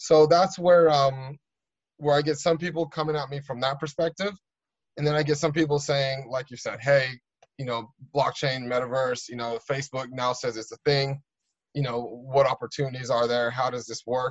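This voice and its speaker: At a moderate pace, a man talks in a fairly high, somewhat breathy voice, keeping his intonation fairly even. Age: 40s. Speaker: innovation director, tech executive. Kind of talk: casual interview chat.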